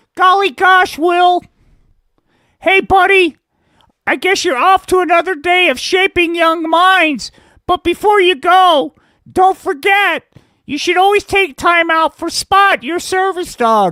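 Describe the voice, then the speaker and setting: In a cartoonish character voice of extremely high pitch, the speaker goes at a fairly slow pace with long, frequent pauses. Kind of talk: comic puppet voice. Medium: puppet show. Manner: wholesome, gee-whiz.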